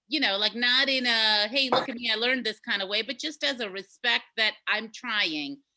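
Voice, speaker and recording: A woman with an ordinary speaking voice, fairly high in pitch, at a moderate pace with lively intonation and hardly any pauses. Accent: American. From India until age seven, then US. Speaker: podcast co-host. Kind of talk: casual chat. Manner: many fillers and self-repeats.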